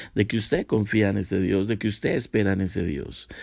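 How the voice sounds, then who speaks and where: A man's fairly low, dark, mellow voice at a fairly quick pace, in a very clean recording with a silent background. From Colombia, Cúcuta (Santander). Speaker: pastor. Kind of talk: sermon.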